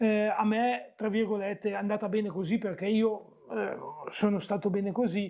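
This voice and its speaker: A man's high-pitched, flat, monotone voice at a moderate pace. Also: quiet background. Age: 40s. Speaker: bariatric surgery patient; interviewee. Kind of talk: casual interview. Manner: hesitant, with many fillers. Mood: relaxed, positive. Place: home room. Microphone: lapel.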